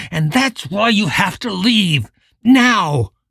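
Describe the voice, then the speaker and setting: Putting on a growling character voice, a man speaks very slowly at a high pitch. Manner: urgent, warning.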